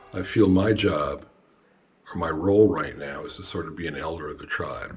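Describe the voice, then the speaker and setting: A man talks at a moderate pace with big swings in loudness. Audible room echo and noticeable background noise surround his voice. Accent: American. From New Jersey. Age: 60s. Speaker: banjo maker and artist. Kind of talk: casual chat.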